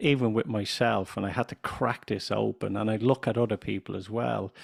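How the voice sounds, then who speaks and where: Vocal fry runs through fairly even intonation in an Irish accent, the sound dry and close with no echo. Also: man, fairly low pitch for a man. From Ireland. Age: 50s. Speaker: business consultant and radio chairman. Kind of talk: podcast interview. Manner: deliberately slow, clear pronunciation.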